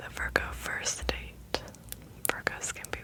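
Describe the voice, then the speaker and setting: A woman whispering in a gentle tone over noticeable background noise. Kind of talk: whispered ASMR reading. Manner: whispered, gentle, soft-spoken.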